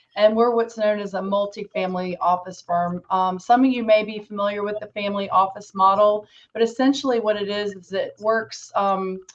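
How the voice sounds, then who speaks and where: Hardly pausing, a woman talks with a slight Southern US accent. Her loudness swings widely. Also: medium pitch for a woman, fairly even intonation, moderate pace. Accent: slight Southern twang. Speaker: financial planning director, exit planning advisor. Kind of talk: panel introduction.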